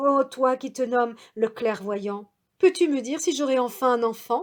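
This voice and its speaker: A woman speaks fairly slowly in an ordinary speaking voice, her pitch fairly high with ordinary variation. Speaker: storyteller. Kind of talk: traditional tale telling.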